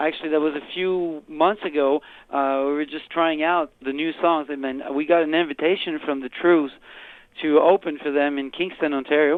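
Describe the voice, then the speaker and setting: Monotone, flat intonation from a man in a Quebec accent, fairly high pitch, moderate pace. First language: French. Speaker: rock singer. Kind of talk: interview. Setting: phone call. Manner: casual, lots of fillers.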